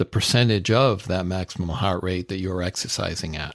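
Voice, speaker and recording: A man with a plain, everyday voice speaks at a fairly low pitch and moderate pace, intonation fairly even, in a very clean recording with a silent background. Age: 60s. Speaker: podcast host. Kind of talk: podcast monologue.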